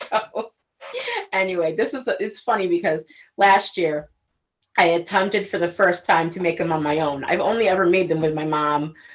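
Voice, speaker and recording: Speaking at a moderate pace, the woman has a fairly low pitch with ordinary pitch variation. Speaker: cooking show co-host. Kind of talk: casual cooking video chat. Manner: loud.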